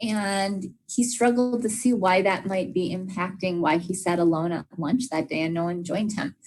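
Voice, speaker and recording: At a moderate pace, a woman speaks with a medium pitch and a somewhat breathy voice. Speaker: special education trainer. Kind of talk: professional development lecture. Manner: frequent fillers (uh, um).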